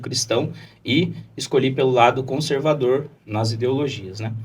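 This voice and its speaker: Moderate-paced speech from a man at a medium pitch, amid noticeable background noise and audible room echo. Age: 20s. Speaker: lawyer and political candidate. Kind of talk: podcast interview.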